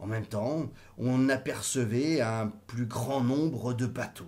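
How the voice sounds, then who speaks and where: The tone is dark and mellow, theatrical and warm. It unfolds at a very slow pace over a quiet background. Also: man. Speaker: audiobook reader. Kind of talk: literary audiobook reading. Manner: theatrical, warm, lively intonation, voicing characters' exclamations; steady, measured narration pace. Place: home room. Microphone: webcam.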